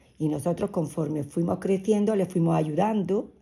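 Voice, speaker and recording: Ordinary pitch variation shapes a woman's dark, mellow tone. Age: 60s. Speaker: interviewee, mother of the host. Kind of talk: family interview, personal recollection. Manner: halting, with repetitions.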